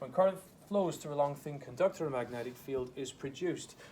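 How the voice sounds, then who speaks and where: This man talks at a fairly quick pace in a fairly high pitch with ordinary pitch variation. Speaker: school science teacher. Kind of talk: classroom lecture. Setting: classroom with students. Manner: casual, slightly rambling explanations.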